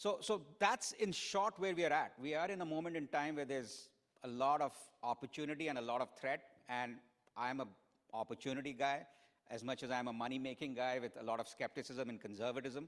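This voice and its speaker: A man's voice at medium pitch, fairly quick in pace, with ordinary pitch variation. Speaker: keynote speaker, finance executive. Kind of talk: conference keynote with audience Q&A. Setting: stage with audience. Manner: fast.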